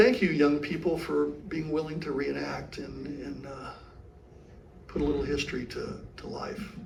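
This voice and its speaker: A man speaks at a moderate pace, with long, frequent pauses and big swings in loudness. Audible room echo and noticeable background noise fill the recording. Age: 70s. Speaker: history presenter. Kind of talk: lecture with audience Q&A. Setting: interpretive center with live audience.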